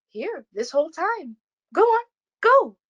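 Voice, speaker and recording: A squeaky put-on character voice with very wide pitch swings, a fairly slow pace, and a dry, close sound with no echo. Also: woman, extremely high pitch for a woman. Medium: read story.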